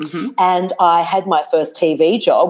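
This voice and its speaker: This woman speaks at a medium pitch. Her pitch variation is ordinary. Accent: Australian. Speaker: TV presenter and speaking coach. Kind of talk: interview. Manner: animated.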